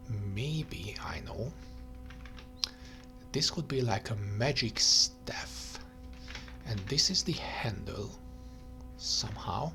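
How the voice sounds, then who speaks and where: A soft-spoken man with a fairly low pitch, very wide pitch swings, a very slow pace and long, frequent pauses, with music in the background. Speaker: digital artist. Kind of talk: soft-spoken ASMR talk while digital painting. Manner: soft-spoken, rambling, thinking aloud.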